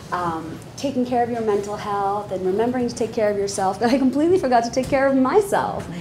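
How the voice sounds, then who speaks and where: Very fast delivery with hardly any pauses over light background noise. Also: woman. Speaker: panel moderator. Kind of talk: panel moderation, casual talk. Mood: warm, joking. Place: hall. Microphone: lapel.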